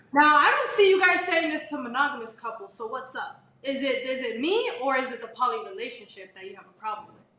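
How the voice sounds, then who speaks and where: Raising and projecting her high voice, a woman talks very fast with very wide pitch swings and big swings in loudness. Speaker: live stream co-host. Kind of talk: live stream Q&A argument with caller. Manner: laughs a lot.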